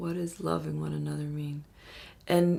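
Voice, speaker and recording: A woman with an American accent, speaking at a fairly slow pace. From New York City, the Bronx. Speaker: activist. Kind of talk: documentary interview.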